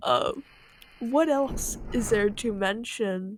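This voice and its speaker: Her American accent clear, a woman speaks at a very slow pace in a fairly high pitch. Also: dry, close sound with no echo. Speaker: gaming video creator. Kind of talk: casual commentary. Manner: rambling with frequent fillers.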